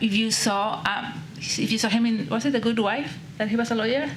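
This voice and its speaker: A woman with a Spanish accent, fairly high pitch, ordinary pitch variation and fairly quick pace, amid noticeable background noise and audible room echo. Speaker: panelist with Parkinson's. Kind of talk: panel discussion. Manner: slight mumble.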